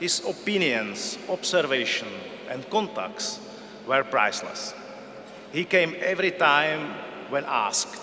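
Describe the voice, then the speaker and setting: Fairly slow speech with long, frequent pauses, very wide pitch swings and noticeable background noise. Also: man. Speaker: intelligence service director. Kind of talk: tribute speech. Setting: gala dinner hall.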